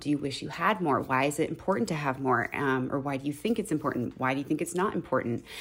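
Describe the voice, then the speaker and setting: A woman with an American accent, very deep and low in pitch, with ordinary pitch variation at a very fast pace. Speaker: teacher and podcast co-host. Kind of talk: casual chat. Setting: at home, remote recording.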